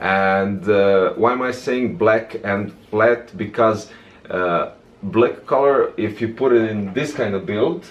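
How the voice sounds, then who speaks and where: Against noticeable background noise, a man speaks very slowly at a medium pitch with ordinary pitch variation. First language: non-English. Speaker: tech reviewer. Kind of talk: product review tutorial. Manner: casual, hesitant with many fillers.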